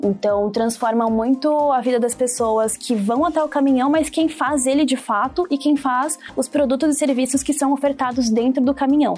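A woman talks at a high pitch and a moderate pace, with hardly any pauses. Her intonation is fairly even, her loudness very even, and noticeable background noise is present. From Brazil, São Paulo ABC region. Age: 20s. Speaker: social impact analyst. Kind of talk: interview.

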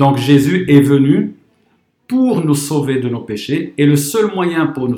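A man with a normal speaking voice talks at a fairly slow pace. His pitch is fairly high. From Morocco. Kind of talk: testimony.

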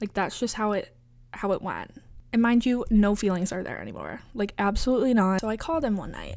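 Fairly high in pitch, this woman has an unremarkable speaking voice. She talks at a fairly quick pace with ordinary pitch variation. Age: 20s. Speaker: podcast host. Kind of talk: casual monologue. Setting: home bedroom. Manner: casual, filler-heavy.

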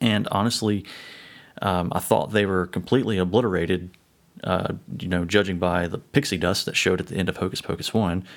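A man with an American accent speaks fairly quickly in a very deep, low pitch with ordinary pitch variation, recorded very cleanly against a silent background. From United States. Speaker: podcast host. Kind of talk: solo podcast monologue. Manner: hesitant, many fillers and restarts.

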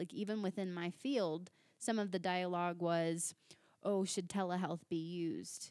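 A woman with an ordinary speaking voice, fairly low-pitched, with fairly even intonation. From Virginia. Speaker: mental health counselor. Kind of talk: casual chat.

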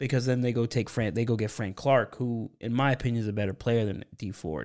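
A man with an American accent has a plain, everyday voice at a medium pitch. He speaks at a fairly quick pace with fairly even intonation on a very clean recording with a silent background. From Pennsylvania. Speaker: podcast host, football fan analyst. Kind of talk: casual interview chat.

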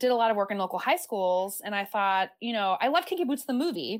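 A woman speaks with an American accent. Her voice sits at a fairly high pitch. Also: very clean recording, silent background. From US, military family (California, Virginia). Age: 30s. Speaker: former arts educator. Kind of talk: interview.

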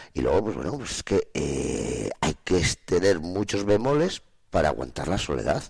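A plain, everyday voice, a man's, fairly low in pitch and fairly slow, on a very clean recording with a silent background. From Spain, Soria province. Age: 50s. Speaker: farmer. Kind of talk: radio interview. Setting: studio.

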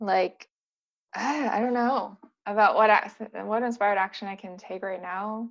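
Speaking with a Californian accent at a fairly slow pace, a woman holds a medium pitch and fairly even intonation while her loudness swings widely. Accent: Californian American. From US, San Diego. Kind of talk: casual chat. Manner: mellow.

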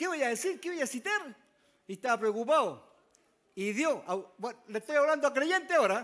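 A man with an extremely high voice talks at a moderate pace with lively intonation and long, frequent pauses. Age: 70s. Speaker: elderly preacher. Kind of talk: testimony. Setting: church.

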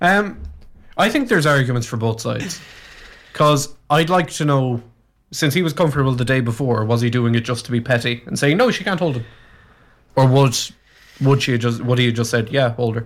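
A man speaks in a Cork accent at a medium pitch and a fairly quick pace, with ordinary pitch variation and a playful tone. His long, frequent pauses stand out on a very clean recording with a silent background. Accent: Cork Irish. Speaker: radio co-host. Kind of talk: casual radio banter. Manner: joking, playful, teasing.

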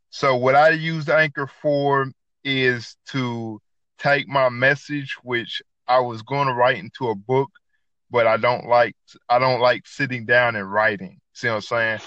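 A man with a Southern US accent speaks at a fairly slow pace, his medium pitch carrying a bright, sharp tone and fairly even intonation. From US South, north Georgia. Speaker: podcaster and cook. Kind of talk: casual chat. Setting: app call with random co-host. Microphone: poor internet connection.

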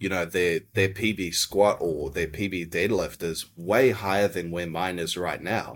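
Fairly even in intonation and fairly slow in pace, this voice with a New Zealand accent comes through a very clean recording with a silent background. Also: man, very deep, low pitch for a man. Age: 30s. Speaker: jiu-jitsu athlete and coach. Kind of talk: podcast interview.

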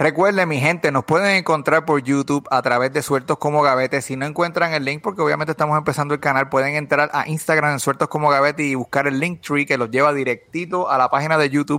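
Talking at a very fast pace with hardly any pauses, a man uses a fairly high pitch and a bright, sharp tone. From Puerto Rico, Bayamón. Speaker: podcast host. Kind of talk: casual chat. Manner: animated.

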